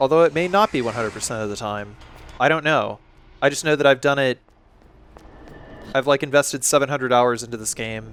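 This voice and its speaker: A man at medium pitch with ordinary pitch variation, a fairly quick pace broken by long, frequent pauses, and music in the background. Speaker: gaming video commentator. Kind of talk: game walkthrough commentary. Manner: casual, with frequent filler words.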